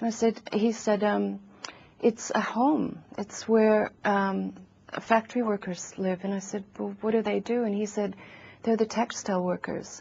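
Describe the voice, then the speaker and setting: A somewhat breathy woman's voice at medium pitch and a fairly slow pace. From USA. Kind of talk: interview. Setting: TV studio. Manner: hesitant, many fillers.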